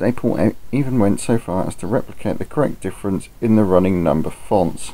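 The speech comes at a fairly quick pace. The words are mumbled. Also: man. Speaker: model railway hobbyist. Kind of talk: hobby product review narration. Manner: mumbled, occasional stutter.

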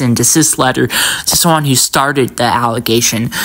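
With noticeable background noise behind her, the woman's pitch varies in an ordinary way. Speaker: commentary YouTuber. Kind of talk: angry rant, commentary. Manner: indignant, emphatic, ranting.

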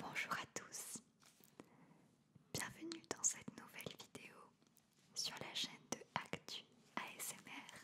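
Whispering at a very slow pace. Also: woman. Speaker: ASMR content creator. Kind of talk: interview answer. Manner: whispered. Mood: calm, warm, smiling. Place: studio. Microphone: studio mic.

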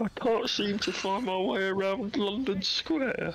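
A put-on character voice in an English accent, fairly high in pitch, over clear background noise. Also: fairly slow pace.

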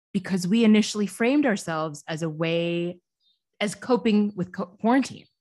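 A woman speaks in a normal speaking voice at medium pitch and a moderate pace, with ordinary pitch variation against a quiet background. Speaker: podcast co-host. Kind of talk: casual chat. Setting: studio.

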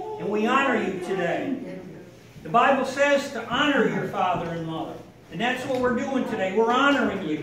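Noticeable background noise and audible room echo surround a man whose extremely high pitch moves at a moderate pace. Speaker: family member giving a tribute. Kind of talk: birthday speech. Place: hall.

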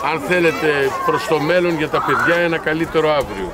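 A man speaks at a moderate pace over crowd noise in the background. The sound is dry, with no echo. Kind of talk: press interview answer. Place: open country. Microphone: handheld.

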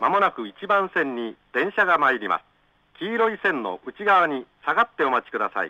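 High-pitched male speech of moderate tempo, the pitch swinging very widely. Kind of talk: train station platform announcement. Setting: PA system.

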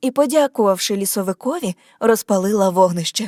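Recorded dry and close with no echo, a woman uses a normal speaking voice at a medium pitch with ordinary pitch variation. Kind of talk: scripted audiobook narration of a fairy tale.

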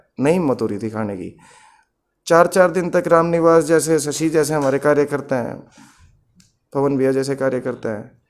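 A man speaks in a fairly high voice at a fairly slow pace, with ordinary pitch variation. Long pauses come often. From Haryana, India. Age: 30s. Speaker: election candidate. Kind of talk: interview. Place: home room. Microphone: handheld.

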